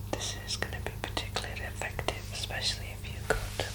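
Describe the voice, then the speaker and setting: A woman whispers at a fairly quick pace in a gentle, soothing tone. Noticeable background noise runs underneath. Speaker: ASMR reiki healer. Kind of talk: ASMR reiki healing roleplay. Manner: soft, gentle, soothing.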